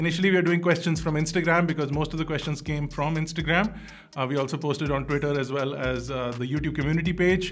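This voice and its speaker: A man speaks with fairly even intonation. Faint music plays in the background. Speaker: tech channel host. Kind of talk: casual vlog chat. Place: studio.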